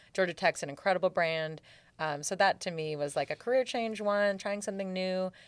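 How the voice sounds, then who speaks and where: In an unremarkable speaking voice with an American accent, a woman talks at a medium pitch and a fairly quick pace with ordinary pitch variation, the sound dry and close with no echo. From Seattle. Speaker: Air Force veteran and assistant dean. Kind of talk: interview conversation. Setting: studio.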